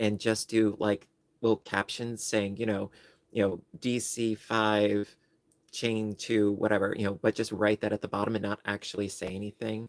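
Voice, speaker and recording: At a moderate pace, a man speaks in a fairly low, monotone, flat voice, the sound dry and close with no echo. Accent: American. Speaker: crochet youtuber and librarian. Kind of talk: casual livestream chat. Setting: livestream. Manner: casual, with many fillers.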